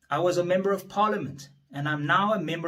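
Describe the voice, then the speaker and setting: At a moderate pace and with ordinary pitch variation, a man speaks in a room with audible echo. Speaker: politician. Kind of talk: speech. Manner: formal.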